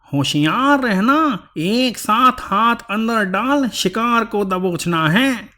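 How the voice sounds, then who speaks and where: In a put-on character voice, a man talks very slowly at a high pitch with hardly any pauses, on a very clean recording with a silent background. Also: lively intonation. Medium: read story. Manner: scheming, self-satisfied.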